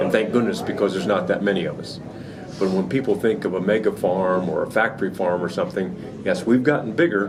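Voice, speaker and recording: A man talks at a fairly low pitch and a moderate pace. Noticeable background noise and audible room echo surround his voice. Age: 60s. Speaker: hog farmer. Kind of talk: interview. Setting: trade show. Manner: halting.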